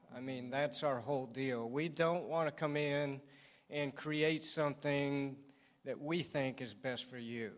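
At a fairly slow pace, a man speaks in a fairly high pitch with fairly even intonation. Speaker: construction business owner. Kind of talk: interview. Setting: church. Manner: soft-spoken.

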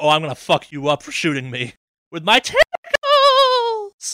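The pace is moderate as a put-on character voice carries the lines. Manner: cheerful, gleeful about violence.

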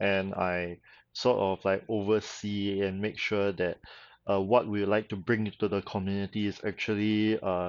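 A man with a Singaporean accent speaks at a moderate pace in a fairly low pitch with fairly even intonation. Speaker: convention organizer. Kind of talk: casual interview chat.

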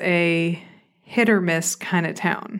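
A woman is speaking. She has a Southern US accent. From Arkansas, US South. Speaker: therapist and podcaster. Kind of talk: solo podcast storytelling. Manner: casual, chatty, self-deprecating.

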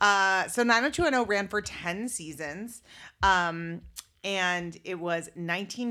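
In a very clean recording with a silent background, a woman speaks in a normal speaking voice at medium pitch. Her pace is fairly slow, with ordinary pitch variation. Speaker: podcast host. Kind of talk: casual comedic banter between a couple. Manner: playful, joking.

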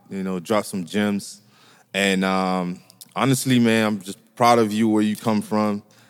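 At a fairly slow pace, a plain, everyday voice speaks with fairly even intonation. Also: man, fairly low pitch for a man. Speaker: podcast co-host.

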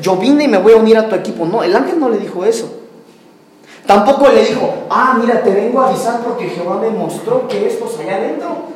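Over noticeable background noise and audible room echo, a man talks at a very fast pace with extremely high pitch. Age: 30s. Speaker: preacher. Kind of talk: sermon.

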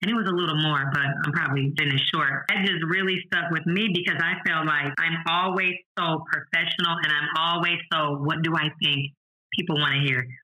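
This man has a normal speaking voice and an American accent. He talks at a fairly quick pace and fairly high pitch, with fairly even intonation. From St. Louis, Missouri. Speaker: former teacher, educational tutoring business owner. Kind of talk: interview.

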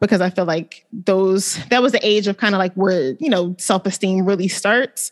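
A woman speaks in an ordinary speaking voice at medium pitch and a moderate pace. Her loudness stays very even, with hardly any pauses and ordinary pitch variation. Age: 30s. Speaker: podcast co-host. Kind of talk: casual chat.

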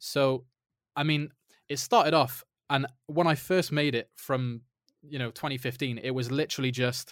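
A man with an English accent at a moderate pace, fairly even in intonation, in a very clean recording with a silent background. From England. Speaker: indie game developer. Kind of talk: interview.

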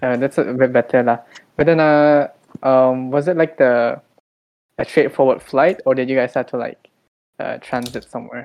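Long pauses come often in this moderately paced speech with fairly even intonation. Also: man, medium pitch for a man. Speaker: podcast host. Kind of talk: casual chat.

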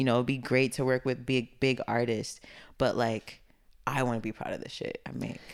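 The speaker has a Brooklyn accent and a moderate pace. The intonation is monotone and flat. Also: woman, very deep, low pitch for a woman. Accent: New York (Brooklyn). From East Flatbush, Brooklyn, New York. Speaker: music producer and rapper. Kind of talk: casual interview chat. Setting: studio.

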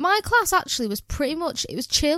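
On a very clean recording with a silent background, a woman speaks very fast with very wide pitch swings. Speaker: podcast co-host, childcare worker. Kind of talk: casual chat.

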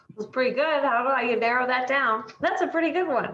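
Someone speaks at a moderate pace with an American accent. Noticeable background noise runs underneath. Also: woman. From Michigan. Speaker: dietitian and health coach. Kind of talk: casual interview.

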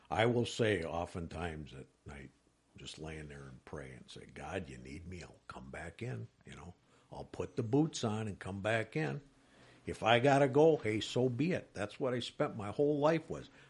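Against a quiet background, a man with a fairly low pitch and vocal fry talks at a moderate pace, his pitch swinging very widely and his loudness rising and falling sharply. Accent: American. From Wisconsin. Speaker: private detective. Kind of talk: interview.

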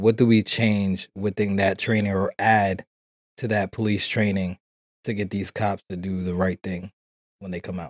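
A man speaks at a fairly low pitch and a moderate pace. The sound is dry and close, with no echo. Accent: New York. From New York City. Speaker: podcast host. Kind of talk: casual chat. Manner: animated.

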